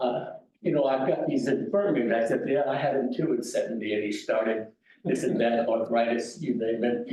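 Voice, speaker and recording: Audible room echo surrounds a voice with an American accent at a moderate pace. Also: man. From San Francisco, US West Coast. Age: 90s. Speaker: war veteran. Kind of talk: talk to veterans club meeting. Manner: halting.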